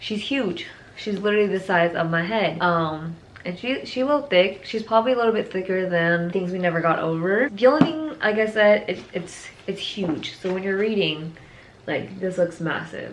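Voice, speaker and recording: A woman talks at a moderate pace in a room with audible echo. Noticeable background noise is present. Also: medium pitch for a woman, lively intonation. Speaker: book youtuber. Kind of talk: casual vlog talk. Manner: animated.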